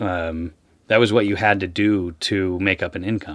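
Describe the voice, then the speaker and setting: The delivery moves at a moderate pace. Its intonation stays fairly even. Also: man. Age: 30s. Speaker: fisherman and fisheries advocate. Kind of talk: interview. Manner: halting.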